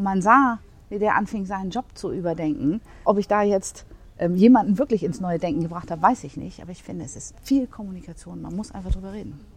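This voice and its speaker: Vocal fry runs through this woman's voice. She talks at a very fast pace. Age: 40s. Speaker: office management consultant. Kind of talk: interview conversation. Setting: coworking space.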